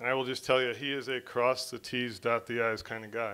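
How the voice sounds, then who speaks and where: A man speaks with a monotone, flat intonation. His tone is bright and sharp. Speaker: teacher presenting a student award. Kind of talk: casual tribute speech. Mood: warm, praising. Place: classroom. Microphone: podium.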